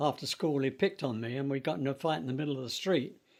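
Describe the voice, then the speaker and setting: A man speaks in a London accent. The recording is very clean with a silent background. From London, England. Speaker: interviewee sharing life story. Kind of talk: oral history interview. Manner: halting, with fillers.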